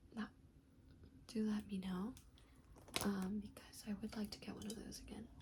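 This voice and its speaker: Soft-spoken delivery at a moderate pace, with long, frequent pauses. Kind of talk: ASMR show and tell.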